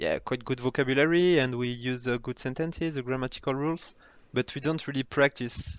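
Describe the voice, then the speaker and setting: Speaking at a fairly quick pace with a French accent, the voice keeps a fairly even intonation. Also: man, medium pitch for a man. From France, Toulouse (southwest). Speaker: former banker. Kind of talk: casual interview chat. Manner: halting, repeats words.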